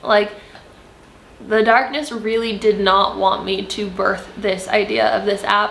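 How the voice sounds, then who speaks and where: A woman's fairly high voice at a very slow pace, with audible room echo and noticeable background noise. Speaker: spiritual content creator. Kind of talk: spiritual monologue to camera. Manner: animated.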